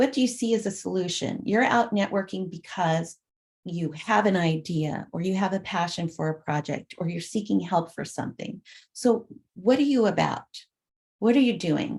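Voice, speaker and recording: A somewhat breathy woman at a moderate pace. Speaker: conference presenter on peer networking. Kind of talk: conference presentation. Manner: soft-spoken.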